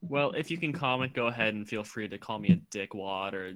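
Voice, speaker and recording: In an American accent, an ordinary speaking voice moves at a fairly quick pace with lively intonation, in a very clean recording with a silent background. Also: man. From US South, Georgia. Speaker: podcast co-host. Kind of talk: casual chat.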